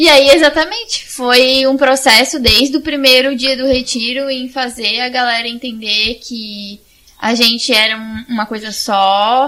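A woman talks at a fairly slow pace with hardly any pauses, her high-pitched voice fairly even in intonation. Noticeable background noise runs underneath. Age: 20s. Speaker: church youth group coordinator. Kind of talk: casual chat.

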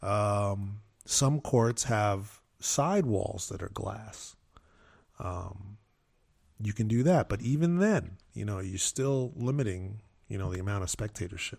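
A man with an American accent speaks very slowly at a fairly low pitch, somewhat breathy, with ordinary pitch variation. The recording is very clean, with a silent background. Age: 50s. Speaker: racquetball player. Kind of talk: casual chat. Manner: halting, many fillers.

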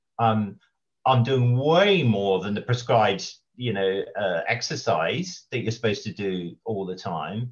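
A man with a southern English accent, medium pitch, lively intonation and a fairly slow pace. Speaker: financial advisor with type 2 diabetes. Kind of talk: interview. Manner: halting.

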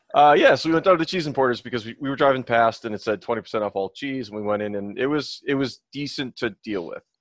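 In an ordinary speaking voice, a man with an American accent talks at a fairly quick pace with lively intonation. The background is quiet, and the sound is dry and close with no echo. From Minnesota. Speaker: podcast co-host. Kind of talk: casual chat. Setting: video call.

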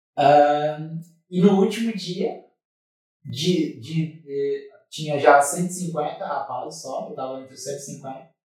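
This man's voice sits fairly high in pitch and comes across somewhat breathy. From Brazil, Santa Catarina (Tubarão). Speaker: former footballer and church ministry director. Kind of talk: interview testimony. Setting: studio.

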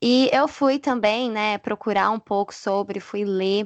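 Against a quiet background, a woman talks at a fairly slow pace with lively intonation, in a dry, close sound with no echo. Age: 20s. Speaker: educational psychologist and church youth leader. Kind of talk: casual chat.

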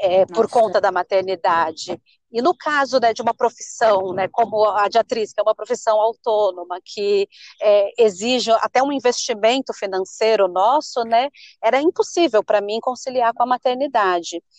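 A woman's fairly high voice with ordinary pitch variation at a moderate pace, in a dry, close sound with no echo. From São Paulo state, Brazil. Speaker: city council candidate. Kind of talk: interview.

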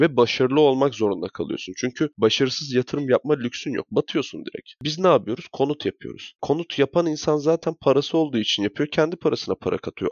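A man talks at a fairly quick pace with lively intonation, his fairly high voice showing vocal fry. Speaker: podcast co-host. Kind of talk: casual chat.

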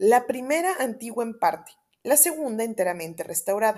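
At a fairly quick pace, a woman speaks in a normal speaking voice with a fairly high pitch. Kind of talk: audiobook reading of a Lovecraft horror story, first-person gothic narration. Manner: warm, affectionate and chatty in intro and outro.

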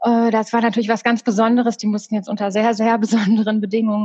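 Very fast speech comes from a woman. Her voice is fairly high and somewhat breathy. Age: 40s. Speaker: secondary school teacher. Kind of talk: casual interview.

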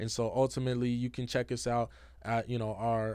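The voice has a dark, mellow tone and an American accent. It moves at a fairly quick pace. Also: man. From Seattle, Washington (South Seattle). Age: 20s. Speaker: community organizer and entrepreneur. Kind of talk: casual interview.

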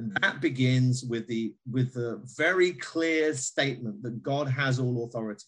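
The voice belongs to a man at medium pitch. He speaks at a moderate pace with ordinary pitch variation. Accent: British. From Britain. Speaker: pastor and author. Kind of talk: interview.

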